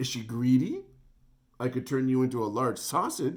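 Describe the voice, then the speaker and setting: Booming put-on character voice from a man, medium in pitch, with fairly even intonation and a moderate pace. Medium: read story.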